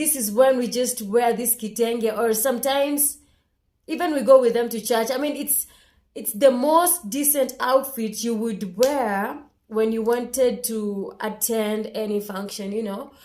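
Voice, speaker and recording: A woman with a Kenyan accent speaks at a fairly slow pace in a fairly high voice with ordinary pitch variation. Her loudness swings widely, and room echo is audible. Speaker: vlogger. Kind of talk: casual vlog monologue.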